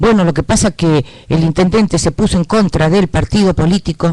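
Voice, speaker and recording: A man with a Rioplatense accent, a high pitch and a moderate pace. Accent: Argentine Rioplatense Spanish. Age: 60s. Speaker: local political candidate. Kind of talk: political interview.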